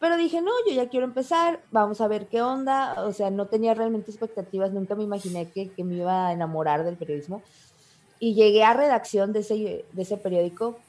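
With lively intonation, a woman talks at a fairly quick pace and a fairly high pitch. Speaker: journalist. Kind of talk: casual interview.

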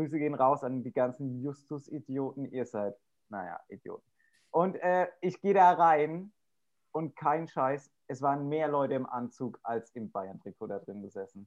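A man with a normal speaking voice and fairly high pitch talks at a moderate pace with lively intonation. His loudness swings widely against a quiet background. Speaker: podcast co-host with an office job. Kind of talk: casual chat. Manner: chatty, humorous.

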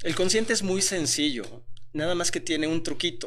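This is a man's voice. He speaks with a Mexican accent. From Mexico. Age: 40s. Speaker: self-development speaker and mentor. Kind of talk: interview.

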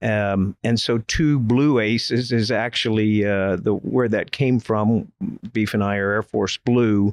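A man with an American accent and a plain, everyday voice, fairly low in pitch, at a fairly slow pace, with fairly even intonation and very even loudness, in dry, close sound with no echo against a quiet background. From Florida, Polk County. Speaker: retired Air Force general, business consultant. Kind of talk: interview.

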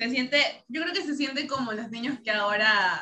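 In a plain, everyday voice, a woman talks at a moderate speed, her pitch varying in an ordinary way. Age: 20s. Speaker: founding member of a youth service club. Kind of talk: casual interview.

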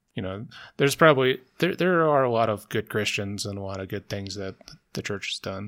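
Here a man speaks with an American accent, a fairly low pitch and lively intonation. The recording is very clean, with a silent background. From US South. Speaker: podcast producer. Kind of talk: casual chat. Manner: introverted, quiet.

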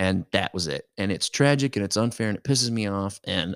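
Recorded very cleanly against a silent background, with a dry, close sound and no echo, a man uses a normal speaking voice with lively intonation at a fairly quick pace. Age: 50s. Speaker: podcast co-host. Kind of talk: casual chat.

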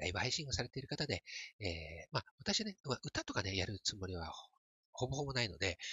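A man speaks very fast with lively intonation. His pitch is medium. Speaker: podcaster, metaverse photographer. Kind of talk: solo podcast talk. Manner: hesitant, many fillers. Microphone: smartphone plug-in mic.

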